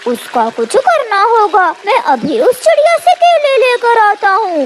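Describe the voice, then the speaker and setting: An extremely high-pitched cartoonish character voice comes through over clear background noise. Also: fairly slow pace. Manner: crafty, threatening.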